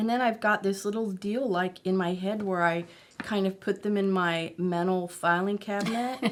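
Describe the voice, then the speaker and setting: A woman with an unremarkable speaking voice talks at a medium pitch and a moderate pace. Her intonation is fairly even and her loudness very even. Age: 60s. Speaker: marriage and family therapist. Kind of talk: interview.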